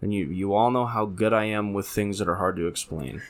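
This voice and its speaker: A man's voice, fairly low in pitch. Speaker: podcast co-host. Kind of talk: casual chat. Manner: slow, deliberate talker.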